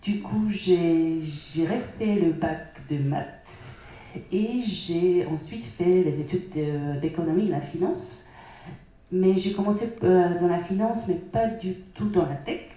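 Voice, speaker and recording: A woman with a Polish accent speaks at a very slow pace, her fairly low pitch varying in an ordinary way. Noticeable background noise and audible room echo fill the recording. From Poland. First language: Polish (speaking French). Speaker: data professional at a bank. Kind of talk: panel discussion.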